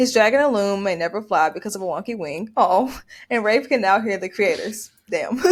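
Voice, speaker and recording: A woman speaks in a Memphis accent. Her pitch is fairly high and her pace moderate. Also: ordinary pitch variation. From US South, Memphis. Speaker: podcast co-host. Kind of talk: reading prepared recap. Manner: halting over names.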